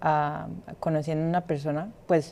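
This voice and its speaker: A woman talks at a fairly low pitch. The background is silent and the recording very clean. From Colombia. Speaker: podcast co-host. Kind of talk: casual chat. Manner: hesitant.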